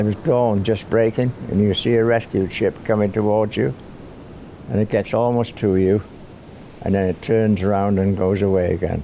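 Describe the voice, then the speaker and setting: A man with a fairly low voice talks at a moderate pace with ordinary pitch variation, over noticeable background noise. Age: 80s+. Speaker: war veteran. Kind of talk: testimony.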